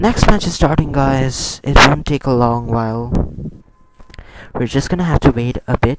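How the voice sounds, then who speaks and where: Over noticeable background noise, the speaker talks at a moderate pace with long, frequent pauses. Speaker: esports streamer and caster. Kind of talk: live commentary. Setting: live stream. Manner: animated.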